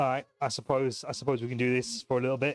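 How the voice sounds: Music plays in the background as a man talks at a fairly quick pace with a British accent. His medium-pitched voice sounds dry and close, with no echo.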